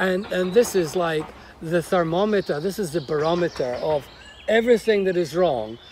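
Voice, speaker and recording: A man with a high voice speaks at a moderate pace and ordinary pitch variation, noticeable background noise behind him. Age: 60s. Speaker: interviewer host. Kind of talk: interview. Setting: on location at a college in Devon countryside.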